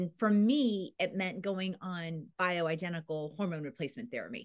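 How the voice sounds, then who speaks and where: Here a woman uses a plain, everyday voice at a medium pitch, with ordinary pitch variation. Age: 50s. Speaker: women's aging advocate and entrepreneur. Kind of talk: interview conversation.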